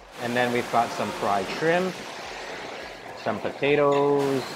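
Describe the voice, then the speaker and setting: A man talks at a fairly slow pace amid noticeable background noise. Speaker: food vlogger. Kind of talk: casual vlog commentary. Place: hall. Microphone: lapel.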